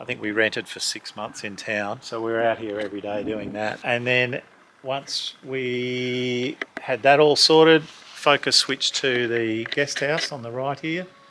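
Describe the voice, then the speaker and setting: Noticeable background noise sits behind a man with an Australian accent. He talks at a fairly slow pace in a medium pitch. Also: ordinary pitch variation. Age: 60s. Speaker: owner-builder, parent of the channel host. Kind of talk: casual home tour chat.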